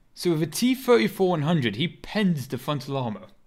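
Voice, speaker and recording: The man's pitch rises and falls across a very wide range. He talks fairly quickly. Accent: British. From Britain. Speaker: gaming streamer. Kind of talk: gameplay live stream commentary. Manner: casual, animated.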